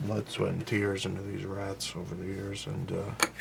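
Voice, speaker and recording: Soft-spoken and mumbling, a man talks at a fairly slow pace. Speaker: clay sculptor. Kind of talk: tutorial.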